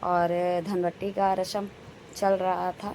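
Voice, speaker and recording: A woman speaks at a medium pitch in a monotone, flat way. There is noticeable background noise. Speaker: family vlogger. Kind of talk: vlog narration.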